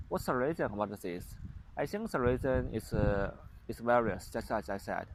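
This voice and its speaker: With a strong Chinese accent, a man speaks at a medium pitch and moderate pace with lively intonation. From China. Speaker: vlogger, former international student. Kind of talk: casual vlog monologue. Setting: outdoors on a playground. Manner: halting, many fillers and restarts.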